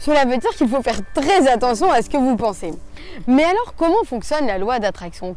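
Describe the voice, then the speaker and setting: A woman speaks at a high pitch with very wide swings in her intonation, over noticeable background noise. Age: 20s. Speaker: motivational youtuber. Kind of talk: motivational talk.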